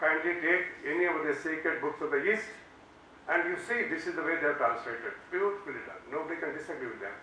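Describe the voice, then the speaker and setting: A man with an Indian accent talks at a very fast pace, his pitch fairly high with ordinary variation. Noticeable background noise and audible room echo fill the recording. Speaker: law professor. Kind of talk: lecture.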